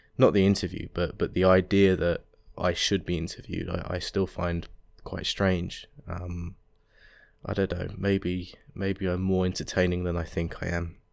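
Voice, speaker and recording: Against a silent background in a very clean recording, a man with an English accent speaks at a moderate pace in a very deep, low pitch, his intonation monotone and flat. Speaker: podcast host. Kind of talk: casual solo monologue. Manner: halting, many fillers.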